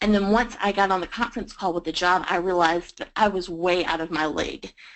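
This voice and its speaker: A woman speaks with a Southern US accent. Her pitch is medium and her intonation fairly even. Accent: Southern US drawl. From US South, Georgia. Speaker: freelance writer. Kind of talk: webinar presentation.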